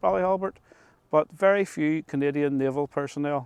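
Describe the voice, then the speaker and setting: A man's fairly high voice at a moderate pace, ordinary pitch variation, and a dry, close sound with no echo. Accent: Northern Irish. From Northern Ireland, Ards Peninsula. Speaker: local history storyteller. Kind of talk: storytelling. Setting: outdoors.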